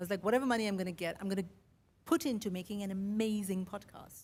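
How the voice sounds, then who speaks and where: A somewhat breathy woman's voice, medium in pitch, at a fairly quick pace with ordinary pitch variation. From India, Mumbai. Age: 50s. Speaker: podcaster. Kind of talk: keynote speech. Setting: stage with audience.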